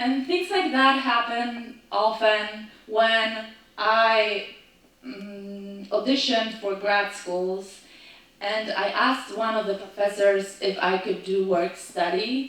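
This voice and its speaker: Speaking very slowly, a woman with a slight non-native accent uses a fairly high pitch and ordinary pitch variation. Noticeable background noise and audible room echo surround her voice. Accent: foreign accent, slight. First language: not English. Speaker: actor and storyteller. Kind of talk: storytelling performance. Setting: stage with audience.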